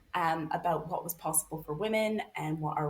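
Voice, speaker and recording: A woman talks at a moderate pace with fairly even intonation. It is an unremarkable speaking voice. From Canada. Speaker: author and researcher. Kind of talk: podcast interview.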